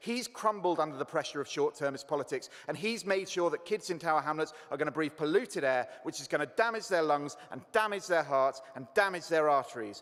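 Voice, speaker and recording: A man's fairly high voice with lively intonation, a fairly quick pace and hardly any pauses. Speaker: councillor. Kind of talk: council debate speech. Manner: fast.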